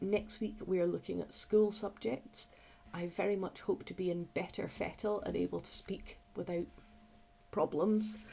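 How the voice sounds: A woman puts on a croaky character voice at a medium pitch, speaking at a moderate pace.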